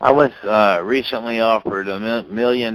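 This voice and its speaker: This man has an unremarkable speaking voice, fairly low in pitch. He talks at a fairly slow pace with ordinary pitch variation. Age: 60s. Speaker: dog breeder and registry founder. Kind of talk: interview.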